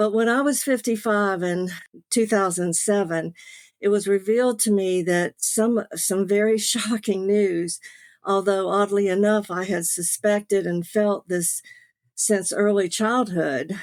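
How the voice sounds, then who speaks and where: A woman with a Southern US accent at a medium pitch, fairly slow pace and fairly even intonation. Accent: Southern US, noticeable. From US South, Beaufort, South Carolina. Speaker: author, late-discovery adoptee. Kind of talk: personal testimony.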